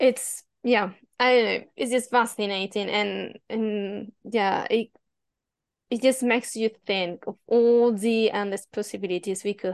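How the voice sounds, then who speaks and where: A woman's voice with a Spanish accent and fairly even intonation. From Spain. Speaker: podcast host. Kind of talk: interview.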